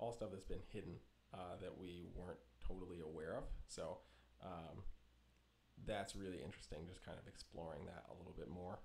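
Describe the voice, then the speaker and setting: Here a soft-spoken man has a very deep, low pitch and talks at a fairly quick pace. Long, frequent pauses break up his speech, and audible room echo is heard. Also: ordinary pitch variation. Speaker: reptile breeder. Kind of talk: live stream chat. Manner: laid-back.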